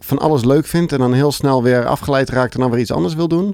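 A man's voice has a dark, mellow tone at a medium pitch. His pitch variation is ordinary. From South Holland, Netherlands (Alphen aan de Rijn area). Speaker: children's book author. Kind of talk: casual chat.

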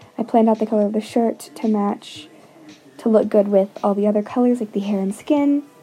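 Over music in the background, a woman speaks with a fairly high pitch. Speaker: art video creator. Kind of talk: voiceover commentary. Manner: hesitant, many fillers.

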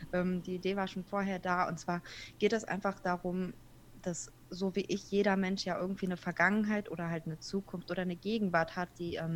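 A woman's medium-pitched voice at a fairly quick pace, in a monotone with flat intonation. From Kazakhstan, moved to Germany at seven. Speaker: podcaster. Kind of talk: interview.

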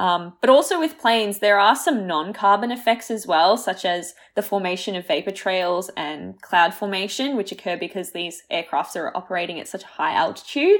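Lively intonation marks a woman speaking at a moderate pace with an Australian accent. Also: medium pitch for a woman, very clean recording, silent background. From born in Croatia, raised in Australia. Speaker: science radio co-host. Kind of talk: casual chat.

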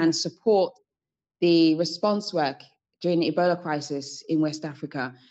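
Against a quiet background, a woman with a British accent talks at a moderate pace in a fairly low pitch with ordinary pitch variation. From UK, Sierra Leonean family. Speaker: entrepreneur, founder of a women's organization. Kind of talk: podcast interview.

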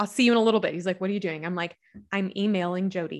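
The voice carries a Southern US accent and fairly even intonation. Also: woman. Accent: Southern US, noticeable. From Kentucky, US South. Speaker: author and speaker. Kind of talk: casual interview.

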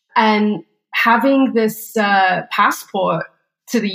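Intonation stays fairly even in an English accent. Very clean recording, silent background. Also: woman. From England, small town. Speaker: startup co-CEO. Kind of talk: interview.

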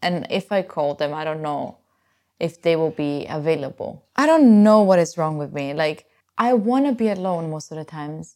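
A woman with an Italian accent speaks at a moderate pace in a fairly low, dark, mellow tone with lively intonation. The recording is very clean, with a silent background. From Italy. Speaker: podcast host. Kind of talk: casual solo talk.

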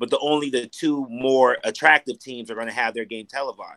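A man's unremarkable speaking voice at medium pitch, moderate pace and fairly even intonation, with a dry, close sound and no echo. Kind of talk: casual chat. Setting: video call.

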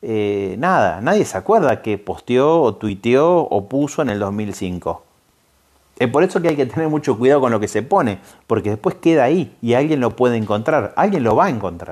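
A man at medium pitch with very wide pitch swings, at a moderate pace. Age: 40s. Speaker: podcast and radio host. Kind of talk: casual explanatory talk. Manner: hesitant, frequent fillers.

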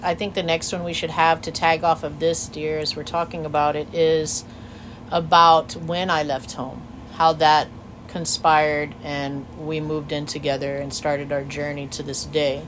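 Against noticeable background noise, a woman talks at a moderate pace in a very deep, low voice. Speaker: podcast co-host. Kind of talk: casual chat. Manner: talkative.

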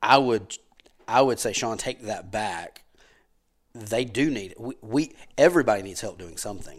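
With a Southern US accent, a man talks at a moderate pace with ordinary pitch variation, big swings in loudness, and long, frequent pauses. The recording is very clean, with a silent background. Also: medium pitch for a man. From US South, Powder Springs, Georgia. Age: 40s. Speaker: insurance agency owner. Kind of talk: casual chat.

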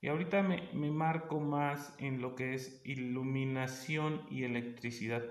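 With a central Mexican accent, a man speaks at a medium pitch and a fairly slow pace amid noticeable background noise and audible room echo. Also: fairly even intonation, hardly any pauses. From Mexico, State of Mexico. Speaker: business and life coach, forestry engineer. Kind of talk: podcast monologue. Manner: casual, hesitant with fillers.

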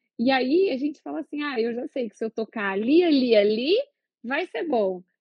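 A woman's high-pitched voice swings very widely in pitch. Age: 30s. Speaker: gynecologist and obstetrician. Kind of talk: casual chat.

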